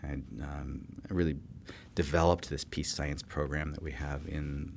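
A man with a very deep, low voice and vocal fry speaks at a moderate pace. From California. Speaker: political science professor. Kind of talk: interview. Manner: halting.

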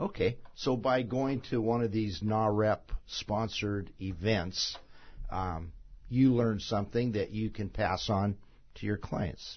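At a very slow pace, a man with fairly low pitch and a somewhat breathy voice speaks with ordinary pitch variation. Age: 60s. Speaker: real estate radio show host. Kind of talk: radio talk show interview. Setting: radio studio.

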